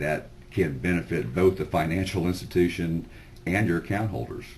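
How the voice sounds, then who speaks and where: A man speaks with a very deep, low pitch. His voice carries vocal fry. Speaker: sales presenter. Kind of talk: sales pitch webinar. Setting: webinar. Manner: loud; informal, filler-heavy.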